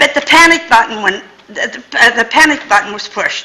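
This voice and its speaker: A woman speaks in a raised, projected voice at a high pitch. Her pace is moderate and her intonation lively, with noticeable background noise behind her. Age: 80s+. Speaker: resident speaking at public comment. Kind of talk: public comment at council meeting. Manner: animated.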